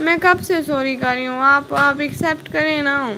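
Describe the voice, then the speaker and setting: Amid noticeable background noise, a woman uses a raised, projected voice at a high pitch with ordinary pitch variation. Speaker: vlogger. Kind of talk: live stream chat. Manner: casual, chatty.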